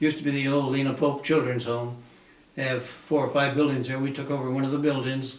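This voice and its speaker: Over noticeable background noise and audible room echo, a man with a fairly high pitch talks very fast in a monotone, flat intonation. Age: 90s. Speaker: war veteran. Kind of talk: interview.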